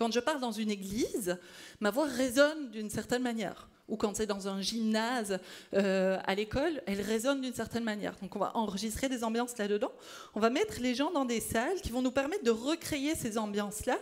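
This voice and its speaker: A woman talks at a fairly quick pace. Her voice is fairly high, with ordinary pitch variation. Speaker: speech-language pathology researcher. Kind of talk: conference talk. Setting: stage with audience. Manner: loud.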